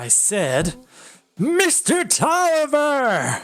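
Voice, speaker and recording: Pitched high, the voice is a put-on character performance. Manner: demanding, angry.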